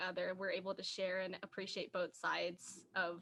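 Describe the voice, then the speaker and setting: The voice has a bright, sharp tone and an American accent. It moves at a fairly slow pace. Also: woman. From US, Indian American family. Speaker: podcast co-host. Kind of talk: casual chat.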